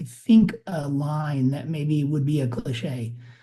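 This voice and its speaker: A man speaks at a fairly slow pace with a fairly high pitch. His voice is somewhat breathy, with a dark, mellow tone. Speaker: singer-songwriter. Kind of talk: interview.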